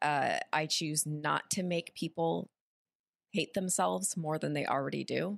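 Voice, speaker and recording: A woman with a very deep, low pitch talks at a fairly slow pace, with a dry, close sound with no echo. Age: 30s. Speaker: actress and streamer. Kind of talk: casual chat.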